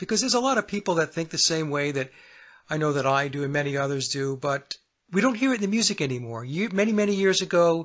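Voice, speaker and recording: The man's voice sits fairly high, with ordinary pitch variation. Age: 60s. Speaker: singer-songwriter. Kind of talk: radio interview.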